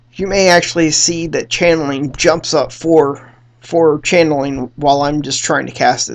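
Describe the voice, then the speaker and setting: Fairly high-pitched man at a moderate pace with fairly even intonation. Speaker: video game streamer. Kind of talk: gameplay commentary. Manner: halting, many fillers.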